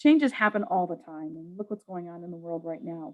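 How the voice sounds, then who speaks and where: The voice has a New York accent, recorded with a dry, close sound and no echo. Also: woman. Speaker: public health program staff. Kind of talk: webinar presentation. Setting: online webinar. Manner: fast.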